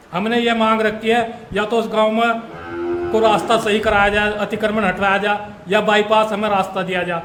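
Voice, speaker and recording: The voice has a monotone, flat intonation, with music in the background and audible room echo. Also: man, high pitch for a man. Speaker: farmer. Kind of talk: interview testimony.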